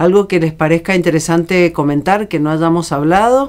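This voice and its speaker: A woman with a normal speaking voice talks at a fairly low pitch and a moderate pace. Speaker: radio interviewer. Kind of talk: radio interview.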